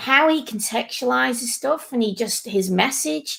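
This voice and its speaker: A fairly slow northern English accent on a very clean recording with a silent background. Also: woman. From northern England. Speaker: podcast host. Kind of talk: casual chat.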